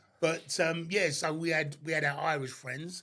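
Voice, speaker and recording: A man with a South London accent. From southeast London, Abbey Wood. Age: 60s. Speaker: door security worker. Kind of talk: casual chat.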